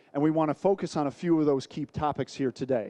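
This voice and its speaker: A man with an American accent and a dark, mellow tone speaks at a fairly quick pace with ordinary pitch variation, the sound dry and close with no echo over a quiet background. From United States. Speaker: sales director presenting a trade seminar. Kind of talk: business presentation.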